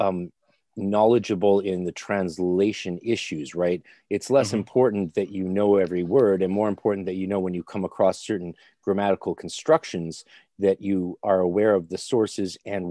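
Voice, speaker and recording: With a Canadian accent, a man speaks in an unremarkable speaking voice, fairly low in pitch, at a moderate pace with fairly even intonation against a quiet background. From Canada. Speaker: occult practitioner and podcaster. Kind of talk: casual chat.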